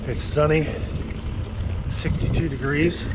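There is noticeable background noise. Over it, a man talks. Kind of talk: casual vlog chat. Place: bicycle. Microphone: phone near.

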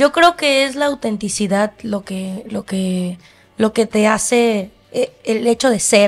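A woman talks at a very slow pace in a fairly high pitch. She has a Mexican accent. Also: ordinary pitch variation. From Mexico. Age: 20s. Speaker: singer. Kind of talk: casual interview. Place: studio. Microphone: studio mic.

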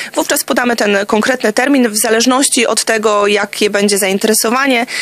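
Very fast speech in a dry recording with no echo. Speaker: guest. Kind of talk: interview answer. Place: studio. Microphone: studio mic.

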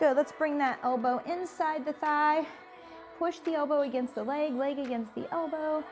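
Clear music plays behind a woman speaking at a high pitch. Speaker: fitness instructor. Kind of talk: workout instruction. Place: studio.

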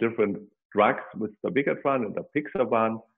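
Against a quiet background, a man speaks at a moderate pace in a fairly low pitch with ordinary pitch variation. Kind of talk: lecture. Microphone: webcam.

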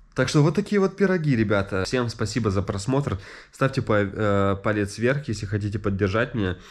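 A man talks in a normal speaking voice at a fairly low pitch and a moderate pace. His pitch varies in an ordinary way, and the background is quiet. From Russia. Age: 30s. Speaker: YouTuber and e-bike entrepreneur. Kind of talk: radio interview; vlog.

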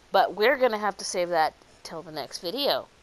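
A woman at a moderate pace and medium pitch, with very wide pitch swings. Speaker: gaming YouTuber. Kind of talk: casual let's play chat.

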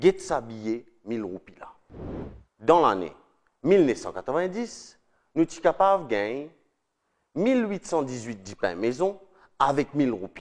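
Here a man speaks at a very slow pace with long, frequent pauses and a fairly high pitch. His pitch swings very widely and his loudness shifts a lot, over light background noise. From Mauritius. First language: Mauritian Creole (speaking French). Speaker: political video presenter; presenter. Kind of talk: scripted narration. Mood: earnest, persuasive. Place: studio. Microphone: lapel.

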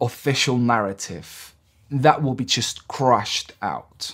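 A man speaks at a fairly slow pace against a quiet background. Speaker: political commentator. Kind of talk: commentary. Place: home room.

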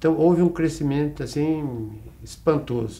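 Dark, mellow tone and ordinary pitch variation in a man's speech. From Brazil, São Paulo state (Araçatuba area); São Paulo state, Brazil. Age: 70s. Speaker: retired bank and health-cooperative administrator; interview guest. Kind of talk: interview. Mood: warm, reflective. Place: studio.

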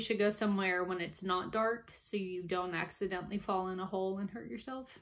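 A woman talks at a fairly quick pace with an American accent. She leaves hardly any pauses. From US South, New Orleans; Louisiana. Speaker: amateur ghost hunter and book reviewer; book reviewer. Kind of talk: casual book review monologue. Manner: hesitant, with frequent fillers. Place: home room. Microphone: webcam.

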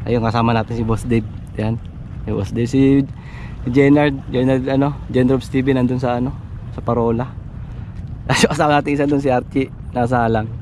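Over light background noise, a man speaks at a fairly quick pace in a monotone, flat intonation, the sound dry with no echo. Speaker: fishing vlogger. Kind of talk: casual vlog chat. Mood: cheerful, laughing. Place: waterside. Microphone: phone near.

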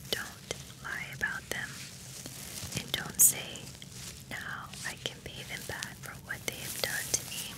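A woman talks at a fairly slow pace with long, frequent pauses. Loud background noise is present, and the sound is dry with no echo. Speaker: ASMR creator. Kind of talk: relaxing Bible reading. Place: home room. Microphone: studio mic.

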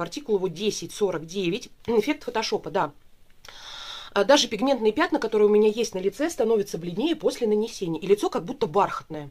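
At a fairly quick pace, a woman speaks with lively intonation. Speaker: beauty product reviewer. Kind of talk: casual vlog chat. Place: home room. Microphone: camera far.

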